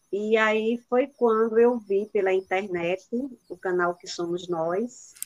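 Speech comes at a very slow pace in a northeastern Brazilian accent with fairly even intonation. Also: woman, medium pitch for a woman. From Brazil, Rio Grande do Norte interior. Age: 50s. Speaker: retired teacher and doula. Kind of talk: testimony.

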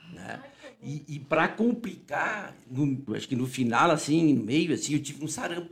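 Using a normal speaking voice, a man with fairly high pitch talks at a moderate pace with lively intonation and big swings in loudness. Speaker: physician, interview guest. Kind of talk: casual interview, storytelling. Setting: studio. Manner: informal, repetitive, chatty.

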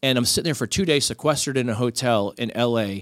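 The recording is very clean, with a silent background. A man speaks at a medium pitch with an American accent. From Miami, Florida. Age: 40s. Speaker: podcaster and author, former sports journalist. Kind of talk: casual chat.

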